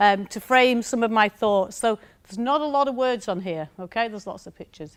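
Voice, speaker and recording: Her voice is fairly high, and she speaks with a strong northern English accent. The woman moves at a fairly quick pace with ordinary pitch variation. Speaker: university lecturer, former maths teacher. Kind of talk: conference talk.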